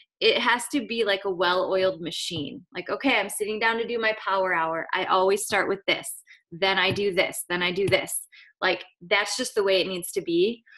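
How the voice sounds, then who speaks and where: A woman at medium pitch, bright and sharp in tone, with ordinary pitch variation, a moderate pace and a quiet background. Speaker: online business coach. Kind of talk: video call training presentation. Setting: video call with screen share. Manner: animated.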